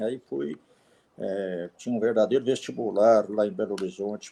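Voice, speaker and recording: Fairly low for a man, this dark, mellow voice moves at a moderate pace with ordinary pitch variation. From Minas Gerais, Brazil (Divinópolis). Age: 70s. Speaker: retired electrical engineer and volunteer. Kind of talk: interview conversation. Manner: halting, with filler words.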